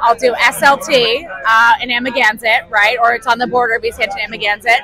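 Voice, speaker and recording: Noticeable background noise sits under a dry sound with no echo. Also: woman. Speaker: interviewee. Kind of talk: interview answer. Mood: upbeat, enthusiastic. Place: street. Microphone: handheld.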